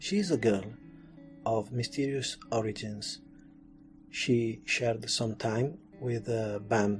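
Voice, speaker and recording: With music in the background, a man speaks in an Italian accent. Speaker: anime and comics culture video narrator. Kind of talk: friendly cultural explainer talk. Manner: friendly.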